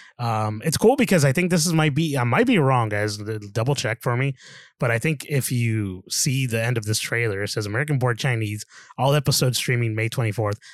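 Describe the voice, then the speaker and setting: A man speaks in an unremarkable speaking voice at a fairly quick pace. His pitch variation is ordinary, and the recording is very clean with a silent background. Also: medium pitch for a man. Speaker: podcast co-host. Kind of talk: casual banter about movies.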